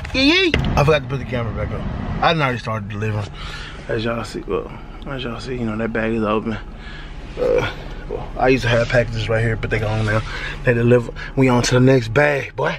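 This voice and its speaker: A man talks at a very fast pace, with noticeable background noise present. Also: dry sound with no echo. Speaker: delivery driver vlogger. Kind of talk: casual vlog chat. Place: car. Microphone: phone near.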